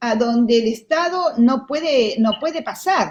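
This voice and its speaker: This woman speaks at a fairly slow pace. Her voice is high-pitched, with lively intonation. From Argentina. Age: 60s. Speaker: lawyer. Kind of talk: interview. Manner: halting, many fillers.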